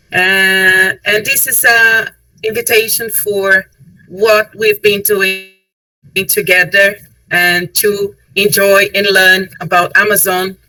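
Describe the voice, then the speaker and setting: Speaking at a very slow pace with long, frequent pauses, a woman keeps a monotone, flat intonation. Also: medium pitch for a woman. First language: Portuguese (speaking French). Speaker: tourism board representative. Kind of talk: webinar presentation. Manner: halting.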